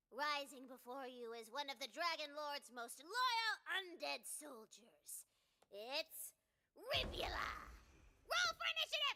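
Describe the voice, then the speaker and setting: A put-on character voice pitched high. It moves at a fairly slow pace. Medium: video game. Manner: theatrical, playful.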